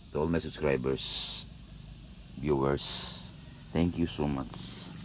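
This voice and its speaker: Audible room echo and noticeable background noise surround fairly even intonation. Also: man. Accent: Filipino. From Philippines, Visayas. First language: Bisaya (Cebuano). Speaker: upholsterer. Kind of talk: tutorial. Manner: halting.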